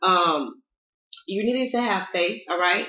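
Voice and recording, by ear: A woman's medium-pitched voice in a Southern US accent, bright and sharp in tone, with audible room echo. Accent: Southern American.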